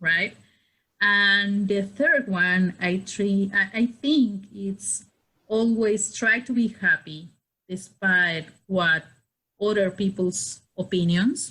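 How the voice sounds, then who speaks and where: A woman speaks with a medium pitch and a bright, sharp tone. Her pace is very slow. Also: ordinary pitch variation. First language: not English. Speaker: podcast guest. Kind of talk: casual chat.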